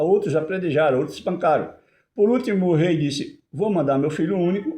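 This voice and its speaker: This man has a dark, mellow tone. His intonation is lively. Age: 70s. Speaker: lay preacher. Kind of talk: sermon. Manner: halting.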